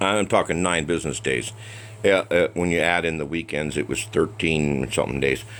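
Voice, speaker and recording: Speaking with an American accent, a man with a very deep, low voice and vocal fry talks at a moderate pace with ordinary pitch variation. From United States. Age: 60s. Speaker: guitar hobbyist reviewer. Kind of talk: product review. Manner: casual, hesitant with fillers.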